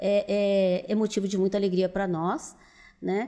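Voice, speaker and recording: A woman with a dark, mellow tone and medium pitch speaks fairly slowly in a very clean recording with a silent background. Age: 70s. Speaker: businesswoman. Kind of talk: interview conversation.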